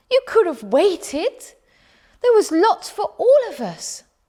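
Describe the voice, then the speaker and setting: This put-on character voice is squeaky and extremely high, with very wide pitch swings and a fairly slow pace. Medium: read story.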